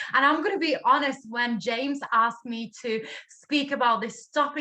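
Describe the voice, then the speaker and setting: With a Latvian accent, a woman uses a raised, projected voice that is high-pitched and bright and sharp in tone, moving at a moderate pace with ordinary pitch variation. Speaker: network marketing director. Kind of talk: online training talk.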